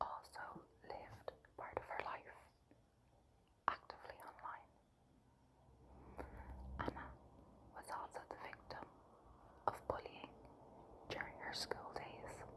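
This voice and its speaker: Whispering with long, frequent pauses, a woman talks at a very slow pace over noticeable background noise. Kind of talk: ASMR true crime narration. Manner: soft-spoken, relaxing.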